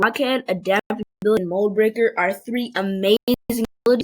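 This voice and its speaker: A woman speaks at a fairly high pitch in a squeaky voice. The sound is dry and close, with no echo. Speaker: video game player. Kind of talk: casual gaming commentary. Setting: computer microphone.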